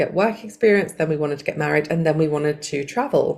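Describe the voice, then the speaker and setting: Noticeable background noise sits under this recording of a woman. She has a very deep, low voice and an English accent. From England. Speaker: life coach and hypnotherapist. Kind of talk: podcast interview.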